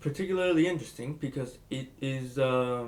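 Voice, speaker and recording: Here a man speaks with a Spanish accent. His pace is moderate. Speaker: book reviewer vlogger. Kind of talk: casual book review monologue. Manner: halting, many fillers and restarts.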